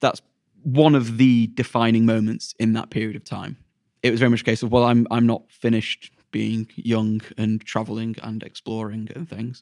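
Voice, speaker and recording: With a Yorkshire accent, a man speaks at medium pitch and a moderate pace in a monotone, flat delivery. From Sheffield, England. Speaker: teacher. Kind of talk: interview.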